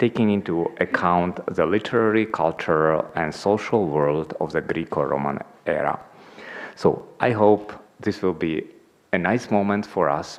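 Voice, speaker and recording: A man speaks at a fairly slow pace with a non-native accent. His pitch is fairly low, and there is noticeable background noise. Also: ordinary pitch variation. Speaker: institute president, conference chair. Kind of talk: conference welcome address. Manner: hesitant, many fillers.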